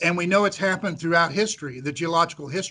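Against a quiet background, a voice with an American accent carries a bright, sharp tone and ordinary pitch variation. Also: man. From central Missouri, US Midwest. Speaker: petroleum geologist, association president. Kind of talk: interview.

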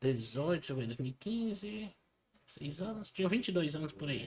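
Fairly high in pitch, a man speaks at a very slow pace with very wide pitch swings. He leaves long, frequent pauses. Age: 20s. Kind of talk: testimony. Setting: studio.

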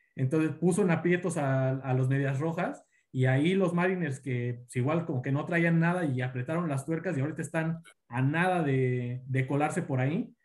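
A man speaks at a moderate pace in a somewhat breathy, fairly high voice with ordinary pitch variation. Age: 20s. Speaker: baseball fan guest. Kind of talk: casual sports chat.

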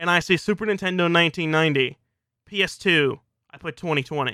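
Recorded with a dry, close sound and no echo, a high-pitched man with an American accent speaks in a bright, sharp tone with ordinary pitch variation. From US South, South Louisiana. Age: 20s. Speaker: podcast host, video game commentator. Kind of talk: solo personal monologue.

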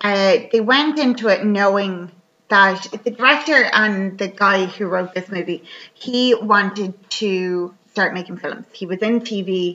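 At a fairly slow pace, a woman has an ordinary speaking voice, a medium pitch and ordinary pitch variation. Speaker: podcast host. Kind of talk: casual chat.

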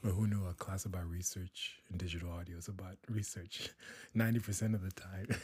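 A man talks at a very fast pace in a very deep, low voice. It is somewhat breathy and monotone, with flat intonation. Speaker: student. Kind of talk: casual chat. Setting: studio.

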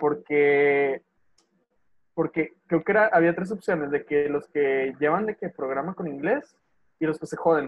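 Speaking at a fairly slow pace, a man with a Mexican accent has a fairly high pitch and ordinary pitch variation. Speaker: podcast co-host. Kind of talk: casual chat.

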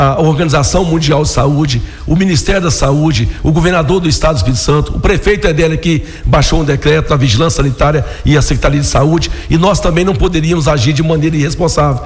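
A man with a fairly high pitch talks very fast amid noticeable background noise and audible room echo. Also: ordinary pitch variation. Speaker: local politician, city council president. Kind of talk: radio interview.

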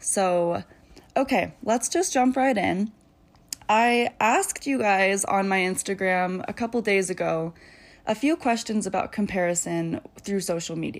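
A woman speaks with an ordinary speaking voice at a medium pitch. Her pace is fairly slow, and her pitch varies in an ordinary way. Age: 20s. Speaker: podcast host, young mother. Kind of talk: casual solo monologue. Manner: casual, frequent filler ums.

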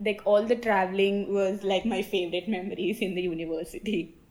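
With an Indian accent, a woman speaks at a medium pitch. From South India. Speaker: university student. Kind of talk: interview. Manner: positive, sociable.

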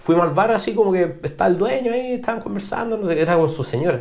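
Heard with audible room echo, a man talks in a Chilean accent. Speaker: rock musician. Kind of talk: casual chat.

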